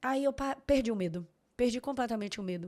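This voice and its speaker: A woman's fairly high, animated voice at a moderate pace, on a very clean recording with a silent background. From Bahia, Salvador. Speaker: lawyer. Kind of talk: casual chat.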